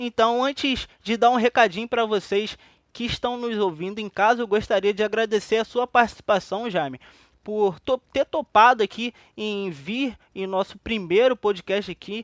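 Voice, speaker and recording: A man with a Brazilian accent, high-pitched, animated in tone, with ordinary pitch variation at a moderate pace, in a dry, close recording with no echo. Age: 20s. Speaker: podcast host. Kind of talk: interview.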